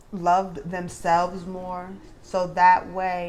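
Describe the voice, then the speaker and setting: In a New York accent, a woman speaks at a very slow pace and a medium pitch. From Brooklyn, New York. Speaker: commentary vlogger. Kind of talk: casual vlog commentary.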